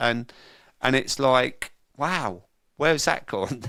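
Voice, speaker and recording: In a London accent, a man talks at medium pitch with ordinary pitch variation and a bright, sharp tone. The recording is very clean, with a silent background. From London, England. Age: 50s. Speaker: sober coach and recovery event organiser. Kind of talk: interview, personal testimony.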